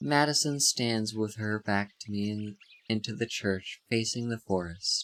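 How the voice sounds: Ordinary pitch variation from a natural reading voice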